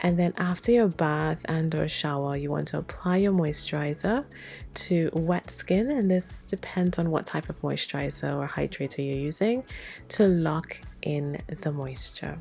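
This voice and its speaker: At a moderate pace, a woman talks over music playing in the background. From Trinidad. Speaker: soap maker. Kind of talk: tutorial.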